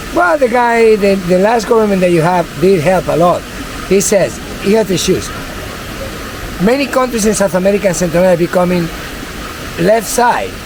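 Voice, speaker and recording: A man with a Spanish accent talks at a fairly quick pace, his pitch high with ordinary variation and his loudness very even. He leaves long, frequent pauses, and there is noticeable background noise. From Venezuela. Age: 50s. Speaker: tour guide. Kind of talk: casual interview.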